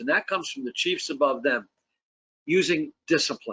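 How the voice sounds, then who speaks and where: The man's voice is an unremarkable speaking voice, and his pitch varies in an ordinary way. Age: 60s. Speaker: fire service safety advocate. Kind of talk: panel discussion.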